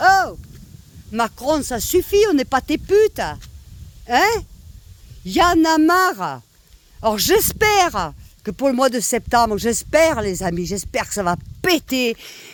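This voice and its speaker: Speech comes at a very slow pace with long, frequent pauses. The pitch swings are very wide. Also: woman, high pitch for a woman. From southern France, Nîmes. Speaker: vlogger. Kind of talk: rant to camera. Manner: animated, loud.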